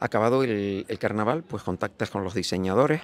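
Heard as a dry sound with no echo, a man speaks at a moderate pace in a fairly low voice. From Canary Islands. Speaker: carnival association president. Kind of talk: TV interview; interview answer. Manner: halting. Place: street. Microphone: handheld.

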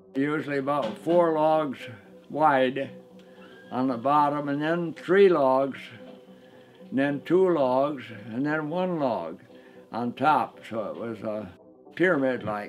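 Very slow speech in an American accent, long, frequent pauses, ordinary pitch variation and faint music in the background. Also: man, fairly high pitch for a man. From northern Michigan. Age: 80s+. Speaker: local history narrator. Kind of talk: documentary interview narration. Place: home room.

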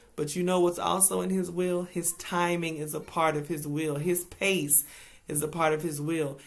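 A woman's fairly low voice, flat and monotone, at a moderate pace. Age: 40s. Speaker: speaker. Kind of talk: inspirational devotional talk. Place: home room. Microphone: webcam.

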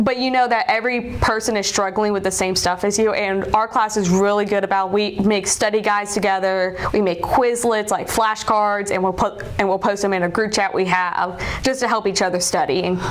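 Speech with an American accent at a moderate pace, with fairly even intonation, very even loudness and hardly any pauses. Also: woman. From South Carolina, Columbia. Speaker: veterinary student. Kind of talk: interview. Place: office. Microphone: lapel.

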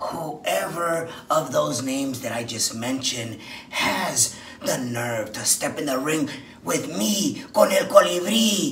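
Clear background noise sits behind a man speaking at a fairly high pitch. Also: fairly slow pace. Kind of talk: wrestling promo. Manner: boastful, challenging.

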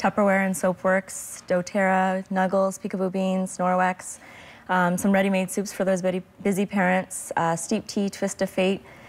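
A woman speaks at a moderate pace in a flat, monotone intonation, her loudness very even throughout. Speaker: guest. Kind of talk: interview answer. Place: studio. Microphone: lapel.

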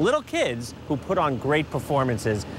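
With a New York accent, a man speaks at a fairly high pitch. Background noise is noticeable. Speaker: city council member. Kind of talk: interview on a tour. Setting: on location.

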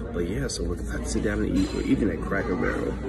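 A man is speaking. Music plays in the background. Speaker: social commentator. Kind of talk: casual vlog chat turning to commentary. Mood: assertive, opinionated. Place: cafe. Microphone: phone near.

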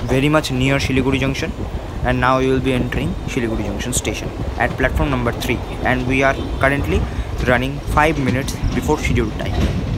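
Over loud background noise, the speaker talks at a very fast pace. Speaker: train travel vlogger. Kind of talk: casual travel commentary. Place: train. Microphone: phone near.

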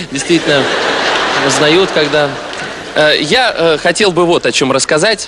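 Light background noise sits behind the recording. A man speaks at a moderate pace. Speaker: stand-up comedian. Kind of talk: comedy monologue. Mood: playful, ironic. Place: stage. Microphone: handheld.

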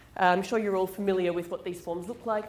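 A woman speaks with audible echo from the room. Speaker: presenter. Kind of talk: lecture. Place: hall.

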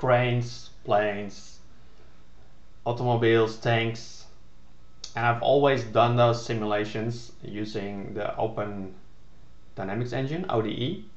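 With a non-native accent, a man speaks at a fairly slow pace with long, frequent pauses and fairly even intonation, and audible room echo surrounds him. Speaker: game developer. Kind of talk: casual narrated screen demo. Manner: hesitant, many filler words. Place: home room. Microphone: webcam.

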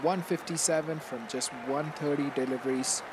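A man speaks with crowd noise in the background. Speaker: gaming YouTuber. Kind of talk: scripted video narration with channel intro and outro.

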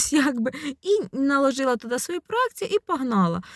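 Over a silent background in a very clean recording, a woman speaks at a moderate pace. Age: 40s. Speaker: psychologist, video blogger. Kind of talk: personal vlog monologue. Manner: conversational, reflective.

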